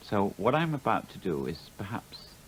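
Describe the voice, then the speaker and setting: A man at a fairly slow pace with very wide pitch swings. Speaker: playwright. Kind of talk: televised opinion monologue to camera. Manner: angry, intense, now mumbling, now rasping.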